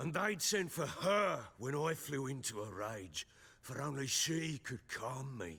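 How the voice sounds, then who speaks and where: A man's raspy, put-on character voice at medium pitch, swinging very widely in pitch at a fairly slow pace. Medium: video game. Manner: gruff, bitter.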